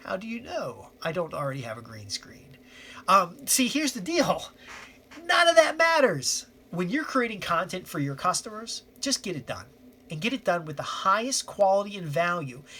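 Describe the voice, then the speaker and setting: Amid noticeable background noise, a man speaks at a high pitch in a raised, projected voice at a moderate pace, with very wide pitch swings and big swings in loudness. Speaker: copywriting newsletter host. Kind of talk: casual talking-head monologue. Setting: home office on camera. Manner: slurred words.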